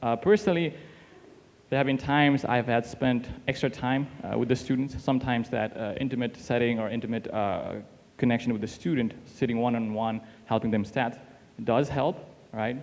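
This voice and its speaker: With a non-native accent, a man of medium pitch talks at a fairly quick pace and ordinary pitch variation. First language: not English. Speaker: teaching assistant workshop facilitator. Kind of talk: workshop discussion.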